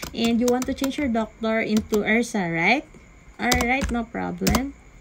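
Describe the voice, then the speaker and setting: A woman's high-pitched voice comes through over noticeable background noise. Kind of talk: role-play customer service call.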